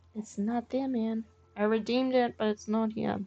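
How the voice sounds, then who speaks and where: A woman speaks with an Australian accent in a relaxed tone. Her pitch sits fairly high. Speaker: gaming streamer. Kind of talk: live game streaming commentary. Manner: casual, relaxed.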